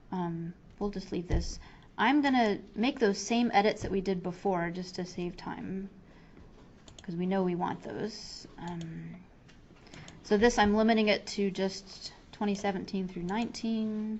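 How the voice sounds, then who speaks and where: Her voice somewhat breathy, a woman speaks at medium pitch with fairly even intonation. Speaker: software trainer. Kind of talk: tutorial. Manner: fast; casual, with fillers.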